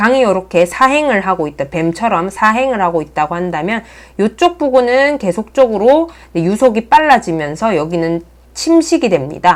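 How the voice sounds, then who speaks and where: With very wide pitch swings, a woman speaks at a moderate pace in a fairly high pitch. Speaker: earth science teacher. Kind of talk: lecture. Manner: slightly mumbled while writing.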